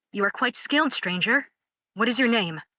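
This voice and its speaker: A female-sounding, put-on character voice growls at a fairly high pitch. The pace is moderate. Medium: machinima. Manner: formal, commanding.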